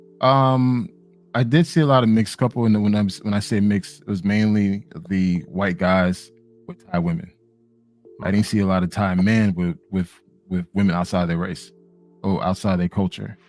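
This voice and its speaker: With music in the background, a man with an American accent speaks with long, frequent pauses. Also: fairly low pitch for a man, ordinary pitch variation, moderate pace. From US, Miami. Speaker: panel guest. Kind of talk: casual chat.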